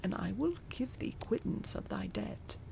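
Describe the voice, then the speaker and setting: Someone whispers in a put-on character voice at a moderate pace over loud background noise. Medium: read story. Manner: stern, sharp.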